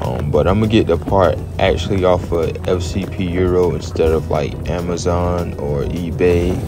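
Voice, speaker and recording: A man's voice has a dry sound with no echo, with clear music in the background. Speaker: car owner vlogger. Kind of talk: casual vlog chat. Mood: calm, relaxed. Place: rain. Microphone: phone near.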